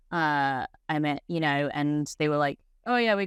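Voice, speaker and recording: A woman speaks with a very deep, low pitch. The recording is very clean with a silent background, dry and close with no echo. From England. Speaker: head distiller. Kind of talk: interview.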